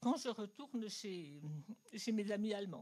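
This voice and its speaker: Somewhat breathy, a woman speaks at a fairly high pitch and a moderate pace. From Germany. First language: German (speaking French). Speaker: audience member. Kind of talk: audience question. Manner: halting.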